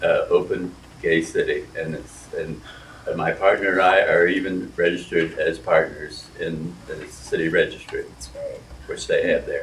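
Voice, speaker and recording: A man with a Midwestern American accent at a fairly slow pace, with audible room echo. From Columbus, Ohio. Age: 80s+. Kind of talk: oral history panel. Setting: live panel event with audience.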